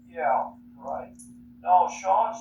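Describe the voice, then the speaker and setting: A man talks at a high pitch, with audible room echo and noticeable noise in the background. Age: 90s. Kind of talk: casual chat. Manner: halting.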